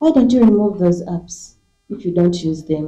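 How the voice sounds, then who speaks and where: A woman's dark, mellow voice swings very widely in pitch at a moderate pace. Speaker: media editor, panelist. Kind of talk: panel discussion.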